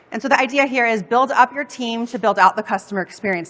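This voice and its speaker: A woman's energetic, fairly high-pitched voice at a very fast pace, with ordinary pitch variation. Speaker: customer success consultant. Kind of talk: conference workshop talk. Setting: stage with audience.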